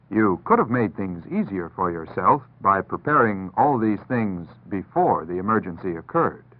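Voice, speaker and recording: Heard here is a normal speaking voice delivered at a moderate pace. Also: man, fairly low pitch for a man, lively intonation, hardly any pauses. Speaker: announcer. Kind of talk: public service announcement narration. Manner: calm, instructive.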